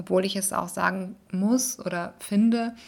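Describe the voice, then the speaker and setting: At a fairly slow pace, a woman with a medium pitch speaks in fairly even intonation. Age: 30s. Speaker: vlogger and podcaster. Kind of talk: casual monologue. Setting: at home in living room. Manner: rambling with many fillers.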